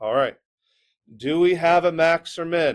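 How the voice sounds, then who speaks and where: The man talks at a fairly slow pace. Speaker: math teacher. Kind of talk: classroom lecture.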